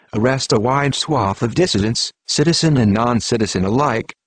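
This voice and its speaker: A man talks in a normal speaking voice at a medium pitch, fairly quick, with lively intonation. The sound is dry and close with no echo, over a quiet background. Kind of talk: conspiracy news narration.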